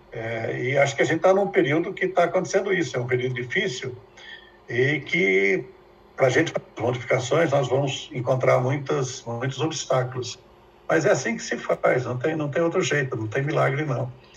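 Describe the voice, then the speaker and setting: A man's moderate-paced speech comes through audible room echo and noticeable background noise. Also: fairly high pitch for a man, lively intonation. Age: 70s. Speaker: professor. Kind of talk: lecture.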